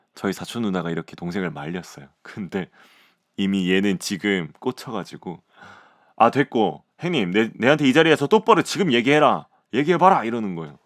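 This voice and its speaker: On a very clean recording with a silent background, a man speaks at a fairly quick pace. His fairly low pitch moves in very wide swings. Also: dry, close sound with no echo. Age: 30s. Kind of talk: podcast audio essay, casual personal storytelling. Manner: calm, gentle.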